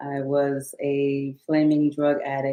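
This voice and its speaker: This woman's pitch sits very deep and low. She talks in an American accent. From Louisiana, Shreveport. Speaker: life coach and author. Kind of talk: interview, personal testimony. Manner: halting, many fillers.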